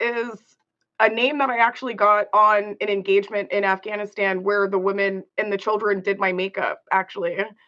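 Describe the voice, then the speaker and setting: A woman's medium-pitched voice, bright and sharp in tone, with fairly even intonation against a quiet background. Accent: American. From Los Angeles, US. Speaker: war veteran and women's advocate. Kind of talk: interview.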